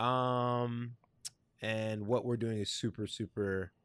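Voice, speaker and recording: A man with a plain, everyday voice speaks at a medium pitch with ordinary pitch variation, in a very clean recording with a silent background. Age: 20s. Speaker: podcast host, designer. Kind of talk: casual interview chat.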